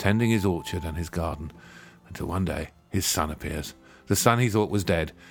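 This is a natural reading voice. Its pitch varies an ordinary amount.

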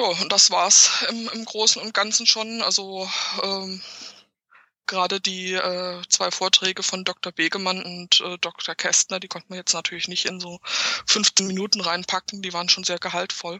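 A woman with a medium-pitched voice speaks at a moderate pace in a flat monotone, her loudness swinging widely. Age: 40s. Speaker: journalist and author. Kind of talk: casual interview.

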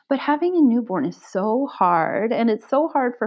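Vocal fry runs through a woman's lively intonation as she talks at a moderate pace. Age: 40s. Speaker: librarian. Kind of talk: interview.

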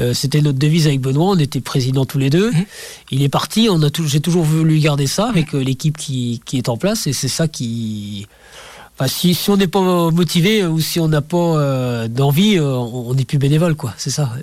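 A man speaks in a plain, everyday voice at a fairly high pitch. His intonation is lively and his pace moderate. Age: 50s. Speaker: amateur ultra-trail runner and association president. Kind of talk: radio interview. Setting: radio studio.

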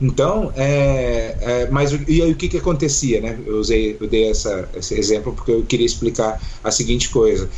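A man at a moderate pace with hardly any pauses, over noticeable background noise. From Brazil, Foz do Iguaçu (Paraná). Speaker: psychologist and pastor. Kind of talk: casual interview.

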